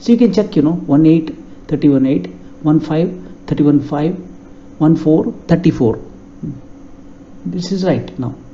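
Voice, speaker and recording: With a Karnataka accent, a man with a fairly high pitch talks at a moderate pace, using lively intonation and long, frequent pauses over noticeable background noise. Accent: Indian English, Kannada. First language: Kannada. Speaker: software tutorial instructor. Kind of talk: tutorial.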